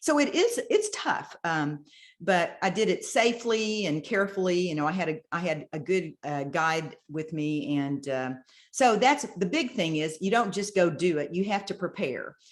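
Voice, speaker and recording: She has a normal speaking voice at a medium pitch for a woman. Her intonation is lively and her pace moderate. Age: 60s. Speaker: bodybuilder. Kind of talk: interview answer.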